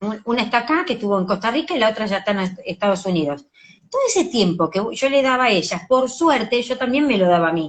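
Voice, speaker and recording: In a Rioplatense accent, a woman talks at a very fast pace in a fairly high, animated voice with very wide pitch swings. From Argentina. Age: 50s. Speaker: educational psychologist and author. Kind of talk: interview.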